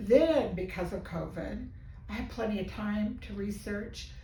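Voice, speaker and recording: Room echo is audible as a woman speaks at a fairly slow pace over noticeable background noise. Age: 70s. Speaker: physical therapy patient giving a testimonial. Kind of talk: testimonial interview. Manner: animated.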